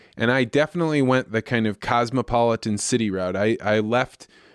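In a very clean recording with a silent background and a dry, close sound with no echo, a man with an American accent uses an ordinary speaking voice at medium pitch, with ordinary pitch variation and a moderate pace. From central Illinois, US Midwest. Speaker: agricultural communications consultant. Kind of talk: interview.

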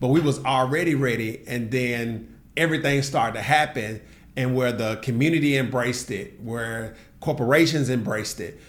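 Moderate pace and ordinary pitch variation amid audible room echo. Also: man, medium pitch for a man. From US South, Nashville, Tennessee. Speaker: entrepreneur and tech bootcamp co-founder. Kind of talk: casual interview conversation.

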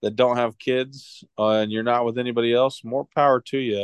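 Here a man talks in an unremarkable speaking voice. His pitch is medium and his pace moderate. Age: 30s. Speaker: sports podcast co-host. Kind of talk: casual chat.

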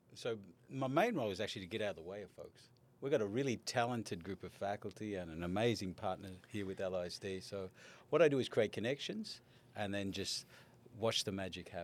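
On a very clean recording with a silent background, a man with an Australian accent speaks at a fairly quick pace, his fairly low pitch showing ordinary variation. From Australia, Melbourne. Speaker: education college dean. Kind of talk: interview.

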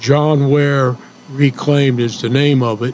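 A man's medium-pitched, monotone, flat delivery at a fairly slow pace, with noticeable background noise. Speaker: radio co-host. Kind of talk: casual chat.

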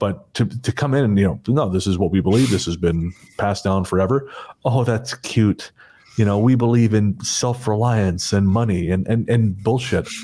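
A man with a Canadian accent speaks at a moderate pace in a fairly low pitch, with a dark, mellow tone, ordinary pitch variation and very even loudness. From Canada, small town. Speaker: podcast host. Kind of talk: casual chat.

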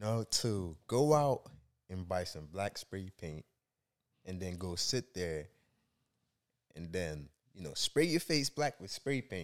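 Speaking at a very slow pace with long, frequent pauses, a man with a very deep, low pitch makes very wide pitch swings and big swings in loudness, on a very clean recording with a silent background. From Nigeria. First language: not English. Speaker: entrepreneur and blogger. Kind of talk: casual interview chat. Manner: halting, many fillers.

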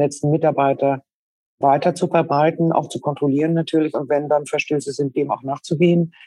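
A woman's very deep, low voice, dark and mellow in tone, at a fairly quick pace. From northern Germany, Schleswig-Holstein. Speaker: business executive. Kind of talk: interview. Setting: remote call.

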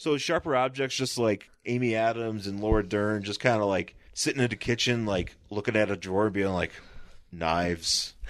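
A man speaks in an unremarkable speaking voice at a moderate pace, his pitch fairly low with ordinary variation. The background is quiet. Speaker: podcast host. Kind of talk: casual chat.

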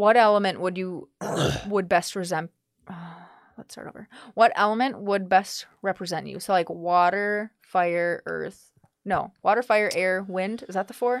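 A woman's medium-pitched, unremarkable speaking voice at a fairly slow pace, with fairly even intonation and big swings in loudness. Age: 20s. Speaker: host's fiancee. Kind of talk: casual chat.

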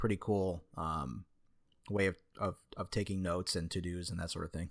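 On a very clean recording with a silent background, a man speaks at a fairly quick pace with fairly even intonation. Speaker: podcast co-host. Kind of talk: casual chat. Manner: casual, profane, talkative; tends to speak fast, working on filler words.

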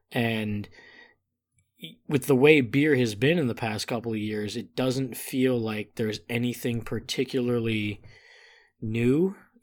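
A man with a plain, everyday voice talks at a fairly slow pace in a medium pitch with ordinary variation, recorded very cleanly against a silent background. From Chicago north suburbs, Illinois. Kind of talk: casual chat.

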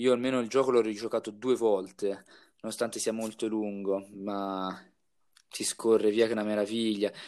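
A man speaks at a moderate pace in a fairly low, monotone voice with flat intonation, recorded very cleanly against a silent background. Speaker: podcast co-host. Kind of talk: casual chat.

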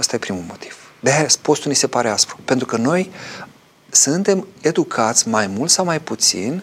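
A man talks at a moderate pace with lively intonation. He has a plain, everyday voice. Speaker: Orthodox priest answering viewer questions. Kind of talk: live call-in religious talk show.

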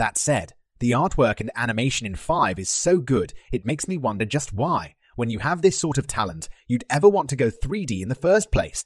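A man's voice makes very wide pitch swings, recorded with a dry, close sound with no echo against a quiet background. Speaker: listener contributor. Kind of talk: prerecorded game review monologue.

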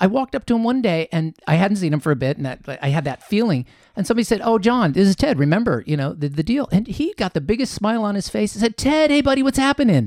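A man speaks very fast with hardly any pauses, at a high pitch with very wide pitch swings. The recording is very clean and silent in the background, with a dry, close sound and no echo. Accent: Midwestern American. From Columbus, Ohio. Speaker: author and happiness coach. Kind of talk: interview storytelling.

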